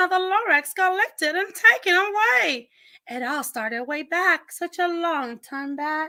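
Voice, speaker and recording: In a put-on character voice, a woman speaks at an extremely high, nasal pitch at a moderate pace, with big swings in loudness. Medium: read story. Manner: grunting.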